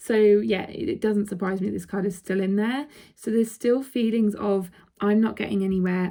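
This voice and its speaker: A woman with a dark, mellow tone speaks at a medium pitch with fairly even intonation. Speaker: intuitive card reader. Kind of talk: tarot-style card reading to camera. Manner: casual, hesitant with many fillers.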